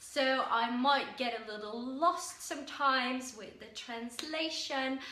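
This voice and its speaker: A woman speaks at a high pitch with ordinary variation. Audible room echo and noticeable background noise surround her voice. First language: Dutch. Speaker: self-help vlogger. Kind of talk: casual talk to camera. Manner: halting with fillers.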